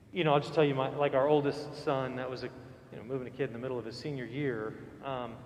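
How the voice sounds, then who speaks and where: Over audible room echo, a man talks at a very fast pace with a medium pitch and fairly even intonation. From central Florida. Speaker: priest. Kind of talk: Q&A with congregation. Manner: casual, hesitant with fillers.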